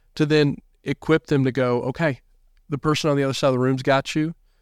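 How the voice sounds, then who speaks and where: A man speaks with a Southern US accent and fairly even intonation. The recording is very clean, with a silent background and a dry, close sound with no echo. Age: 30s. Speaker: youth pastor. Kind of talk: casual interview.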